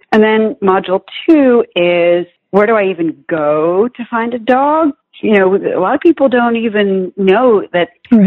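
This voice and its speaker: With an East Coast US accent, a woman speaks at medium pitch and a moderate pace, her voice making very wide pitch swings. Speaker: children's author. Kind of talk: interview.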